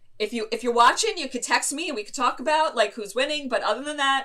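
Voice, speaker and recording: A woman's animated, raised and projected voice, high-pitched, bright and sharp, at a very fast pace. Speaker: inclusive education consultant. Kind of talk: interview.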